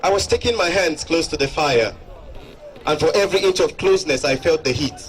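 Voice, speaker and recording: There is noticeable background noise as a man speaks at a fairly quick pace. His high-pitched voice carries lively intonation. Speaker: motivational speaker. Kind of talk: motivational stage speech to an audience. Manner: upbeat, addressing a crowd.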